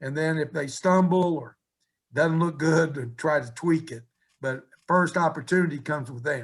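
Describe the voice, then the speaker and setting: A man with an Appalachian accent, fairly high in pitch and somewhat breathy, with fairly even intonation at a moderate pace. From West Virginia. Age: 70s. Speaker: college basketball coach. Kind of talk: interview.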